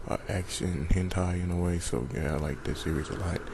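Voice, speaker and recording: Someone whispers at a fairly quick pace, with audible room echo and noticeable background noise. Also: man. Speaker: YouTuber in collab video. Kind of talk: casual video monologue. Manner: whispering.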